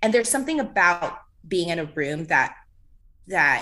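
A woman's fairly low voice, bright and sharp in tone, with lively intonation at a moderate pace over a quiet background. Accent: American. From Walnut, California, US. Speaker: actor. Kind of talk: casual chat.

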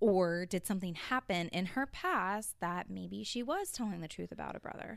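A woman with a Southern US accent, hardly any pauses. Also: moderate pace. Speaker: true crime podcast host. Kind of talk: casual chat.

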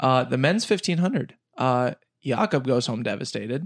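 The pace is moderate. The intonation is lively. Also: man. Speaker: podcast co-host, running fan. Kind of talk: casual chat. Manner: high energy.

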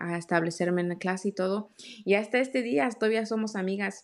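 A woman talks in a normal speaking voice. She keeps a moderate pace and fairly even intonation. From Mexico (Oaxaca), raised in South Carolina from age 10. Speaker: author. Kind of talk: casual interview.

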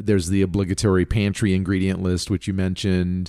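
A man is speaking. His voice is very deep and low-pitched. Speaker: cookbook podcast co-host. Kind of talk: casual chat. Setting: home living room. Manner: announcer-like delivery.

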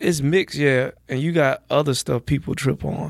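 A man with an American accent talks at a moderate pace in a dry, close sound with no echo. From US South, Georgia (Athens, near Atlanta). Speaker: comedian. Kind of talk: casual chat.

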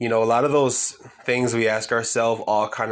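The speaker is a man with a medium pitch. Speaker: podcaster. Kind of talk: solo podcast monologue, casual. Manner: casual, rambling, fumbles words.

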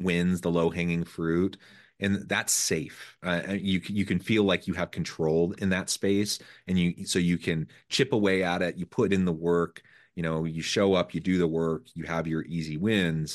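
A man's very deep, low voice at a moderate pace, with fairly even intonation and a quiet background. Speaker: podcast host. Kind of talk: interview.

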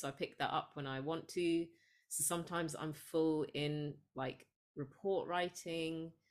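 A woman with an English accent, very deep and low in pitch, monotone and flat, at a fairly slow pace, in a very clean recording with a silent background. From England, Sri Lankan parents. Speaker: psychologist and spiritual coach. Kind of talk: casual interview.

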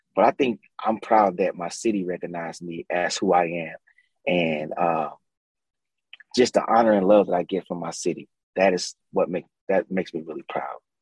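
At a moderate pace, a man speaks in a very deep, low voice with ordinary pitch variation and long, frequent pauses, in a dry, close sound with no echo. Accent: American. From St. Louis, US Midwest. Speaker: music producer and singer. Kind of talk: casual interview chat.

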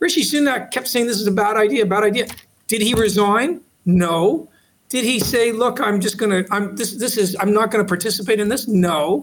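In a Canadian accent, a man speaks with a high pitch and an animated tone. His pace is moderate and his pitch varies in an ordinary way. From Canada, Toronto. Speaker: law professor. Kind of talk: interview.

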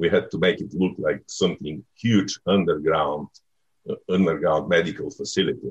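A man at a moderate pace with a Bulgarian accent. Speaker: film director. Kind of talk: interview. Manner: halting.

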